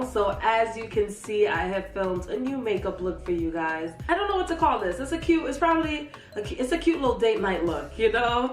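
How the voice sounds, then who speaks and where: Over background music, a woman with a fairly high pitch talks at a fairly quick pace, her pitch swinging very widely and hardly any pauses breaking her speech. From Jamaica. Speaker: beauty YouTuber. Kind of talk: makeup tutorial voiceover. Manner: casual, chatty.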